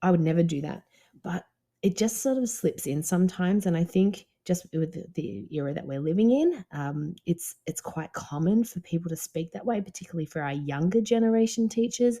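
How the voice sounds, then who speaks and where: A woman's fairly low, somewhat breathy voice with a dark, mellow tone, lively intonation and a fairly quick pace. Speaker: dance business coach and podcast host. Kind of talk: podcast monologue. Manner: low voice.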